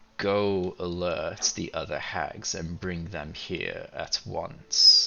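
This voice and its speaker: Using a put-on character voice, a man speaks at a very slow pace. His pitch is fairly low, and his loudness swings widely. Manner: commanding, charming.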